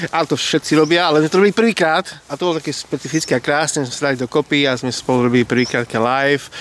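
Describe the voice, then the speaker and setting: A man speaks at a very fast pace in a fairly high pitch. His pitch varies in an ordinary way, and the sound is dry and close with no echo. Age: 40s. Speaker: youth group leader. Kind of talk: casual chat. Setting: outdoors.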